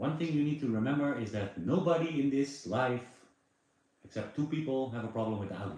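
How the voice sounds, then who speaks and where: A man with a medium-pitched voice talks at a fairly quick pace with lively intonation, and the room echo is audible. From Netherlands. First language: Dutch. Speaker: live streamer. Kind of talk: casual chat. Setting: livestream.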